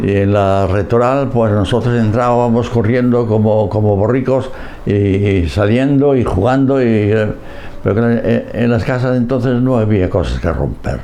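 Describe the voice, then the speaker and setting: At a fairly slow pace, a man speaks at medium pitch with ordinary pitch variation and very even loudness, amid audible room echo and noticeable background noise. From Galicia, Spain. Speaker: priest. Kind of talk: oral history interview. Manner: halting.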